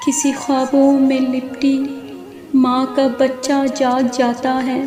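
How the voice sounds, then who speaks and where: With music in the background, a woman with a high voice speaks in a sad tone and a monotone, flat intonation. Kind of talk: poetry reading. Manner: sad, emotional.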